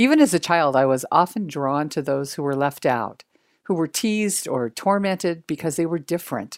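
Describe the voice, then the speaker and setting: A woman with an unremarkable speaking voice talks at a moderate pace, pitched fairly low. Her intonation is lively, and the recording is very clean with a silent background. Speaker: executive coach and author. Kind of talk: interview with scripture reflection and storytelling.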